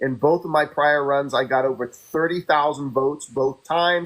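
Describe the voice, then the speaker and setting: A man with an unremarkable speaking voice and fairly even intonation, on a very clean recording with a silent background. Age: 50s. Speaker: political candidate. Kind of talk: interview.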